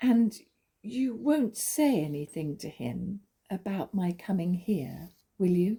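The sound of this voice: Putting on a character voice, a woman speaks slowly at medium pitch with lively intonation and a dark, mellow tone that carries a slightly husky edge.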